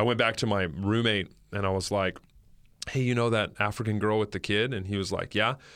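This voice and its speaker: A man with an ordinary speaking voice and an American accent speaks at a fairly low pitch and a fairly quick pace, with fairly even intonation. The recording is very clean, with a silent background. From northern California. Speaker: pastor. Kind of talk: testimony. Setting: studio. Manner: casual.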